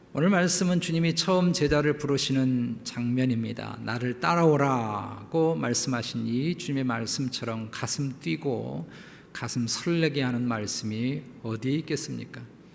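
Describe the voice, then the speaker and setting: With audible room echo, a man of medium pitch speaks at a fairly slow pace with hardly any pauses. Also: ordinary pitch variation. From South Korea (Jeolla, Seoul, Incheon). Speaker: pastor. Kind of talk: sermon.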